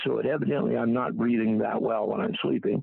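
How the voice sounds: This gravelly voice carries vocal fry and a slightly husky edge. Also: man.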